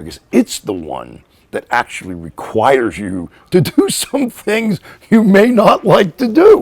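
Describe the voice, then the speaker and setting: American-accented speech comes from a man. The recording is dry and close, without any echo. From Pittsburgh, US. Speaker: author. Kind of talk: interview. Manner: animated.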